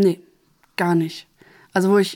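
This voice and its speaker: This clip features a woman. Her pitch is medium. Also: very clean recording, silent background. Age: 30s. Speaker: social worker and master carpenter. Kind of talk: interview. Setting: studio.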